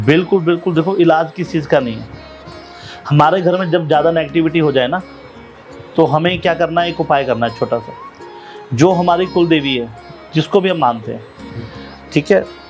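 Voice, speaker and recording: Music plays in the background while a man with a fairly high pitch talks at a moderate pace. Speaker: spiritual storyteller and preacher (kathavachak). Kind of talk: podcast interview answer on spiritual topics.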